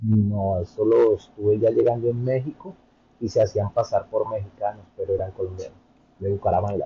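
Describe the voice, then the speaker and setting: Music behind a man talking at a moderate speed. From Colombia, Bogotá. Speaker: immigrant content creator. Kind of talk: interview.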